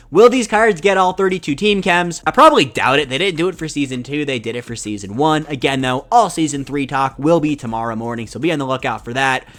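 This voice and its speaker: A man talks very fast in an energetic tone, barely pausing at all. His pitch sits fairly high. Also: lively intonation. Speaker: gaming YouTuber. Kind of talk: video game news commentary. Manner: loud; fast, energetic.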